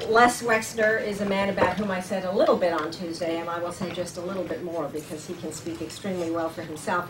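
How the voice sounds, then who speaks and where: Speech comes at a moderate pace with ordinary pitch variation. Audible room echo and noticeable background noise are present. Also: woman. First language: German. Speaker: center director hosting speaker series. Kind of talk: speaker introduction.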